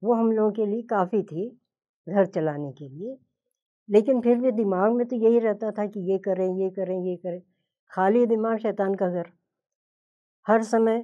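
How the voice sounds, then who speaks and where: Against a quiet background, a woman speaks slowly in a dark, mellow tone with ordinary pitch variation, big swings in loudness, and long, frequent pauses. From Hyderabad, India; later Bombay and Lucknow. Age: 80s+. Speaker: home cook and cooking video creator; cooking video creator. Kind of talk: motivational talk. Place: studio.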